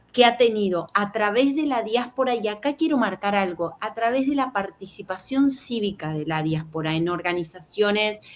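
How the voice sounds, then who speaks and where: Speaking in a Rioplatense accent, a woman with a medium-pitched voice keeps a moderate pace and ordinary pitch variation. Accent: Argentine Rioplatense Spanish. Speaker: journalist. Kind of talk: interview.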